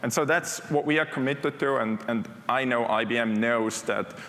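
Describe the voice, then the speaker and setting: Here a man talks at a moderate pace and medium pitch. He has a non-native accent and lively intonation. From Switzerland. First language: not English (English is third language). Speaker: technology executive. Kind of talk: conference keynote. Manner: conversational, with fillers.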